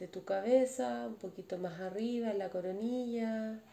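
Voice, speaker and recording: Her tone is dark and mellow. This woman's pitch rises and falls in an ordinary way. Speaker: meditation teacher. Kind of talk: guided meditation. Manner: slow; speaking louder, voice directed away.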